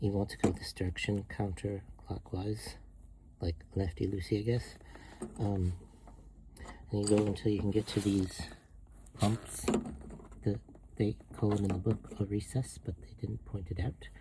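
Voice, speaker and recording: Long pauses come often while the speech holds a moderate tempo. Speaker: DIY car repair vlogger. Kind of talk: hands-on tutorial. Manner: hesitant, many fillers.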